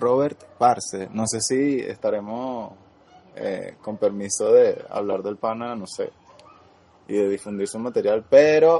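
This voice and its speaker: A man at a very slow pace, with big swings in loudness and noticeable background noise. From Venezuela. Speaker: podcast co-host. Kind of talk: casual chat.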